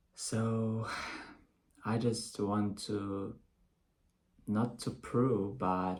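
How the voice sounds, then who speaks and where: The speech is very slow, with long, frequent pauses. The speaker has a non-native accent. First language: not English. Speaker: English learner. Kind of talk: casual talk to camera. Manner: hesitant, with pauses.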